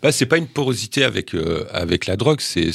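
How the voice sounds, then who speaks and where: A man speaks with lively intonation. The sound is dry and close, with no echo. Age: 50s. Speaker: football journalist. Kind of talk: casual chat. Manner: halting.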